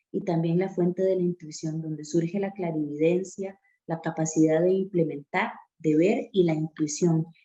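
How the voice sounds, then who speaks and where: A woman's dark, mellow voice, fairly low in pitch, with ordinary pitch variation at a moderate pace. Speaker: reading circle moderator. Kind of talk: lecture.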